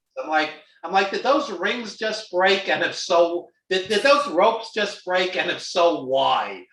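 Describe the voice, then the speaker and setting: With an American accent, a man speaks at a fairly slow pace in a high voice with lively intonation, and the room echo is audible. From New York, Brooklyn. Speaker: wrestling film producer. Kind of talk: casual chat.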